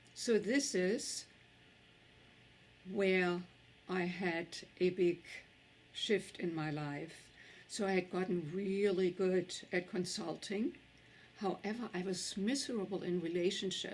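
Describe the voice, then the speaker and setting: A woman with a German accent, medium pitch and ordinary pitch variation, at a very slow pace with long, frequent pauses. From Germany. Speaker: tantra teacher and author. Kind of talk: summit talk.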